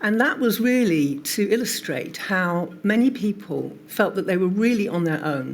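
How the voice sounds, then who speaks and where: With an unremarkable speaking voice, a woman of medium pitch talks at a moderate pace with lively intonation and hardly any pauses. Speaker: witness at public inquiry, long covid patient advocate. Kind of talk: testimony. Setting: public inquiry hearing.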